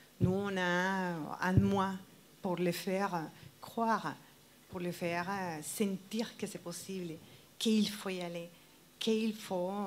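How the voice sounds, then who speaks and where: With a Spanish accent, a woman speaks at a medium pitch and a very slow pace, leaving long, frequent pauses. Her intonation is fairly even. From Colombia. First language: Spanish (speaking French). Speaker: wedding dress designer. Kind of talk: TV interview. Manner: halting.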